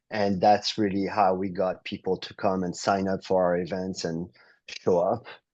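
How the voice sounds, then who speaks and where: A man with a French accent, very deep and low in pitch, monotone and flat, at a moderate pace against a quiet background. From France, South of France. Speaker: real estate entrepreneur. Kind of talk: interview.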